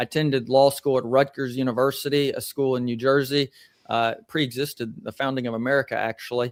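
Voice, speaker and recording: Monotone, flat and at a very fast pace, a man speaks at medium pitch in a dry, close sound with no echo. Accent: Southern US. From US South, Columbia, Tennessee. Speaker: attorney. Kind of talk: interview.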